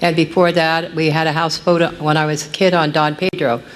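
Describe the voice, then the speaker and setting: The pace is moderate. There is noticeable background noise. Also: woman. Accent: American. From California, Central Valley foothills. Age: 70s. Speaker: public commenter. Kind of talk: public comment at a meeting. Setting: county board meeting.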